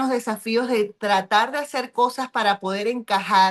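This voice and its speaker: Using an ordinary speaking voice, a woman talks at a moderate pace. Her pitch is fairly high and her intonation fairly even. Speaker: pastor and reading club host. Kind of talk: book club discussion.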